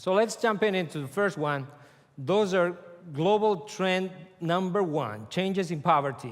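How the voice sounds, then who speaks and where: Amid audible room echo, a man with a Spanish accent speaks at a high pitch and a fairly slow pace with lively intonation. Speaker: conference speaker. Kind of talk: lecture.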